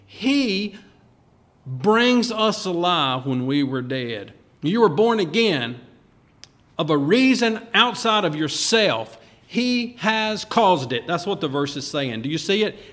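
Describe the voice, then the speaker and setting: With audible room echo and noticeable background noise, a man speaks at a very slow pace in a voice high for a man, his pitch swinging very widely. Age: 50s. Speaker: pastor. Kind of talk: sermon.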